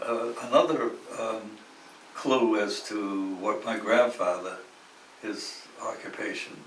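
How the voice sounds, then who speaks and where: A man's voice over noticeable background noise. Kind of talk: interview answer.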